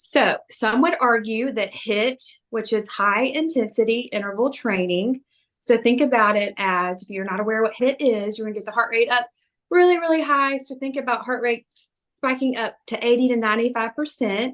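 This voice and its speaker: With a slight Southern US accent, a woman speaks at a fairly high pitch with ordinary pitch variation. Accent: slight Southern twang. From US South. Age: 40s. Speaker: personal trainer. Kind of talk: fitness talk. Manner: fast; animated.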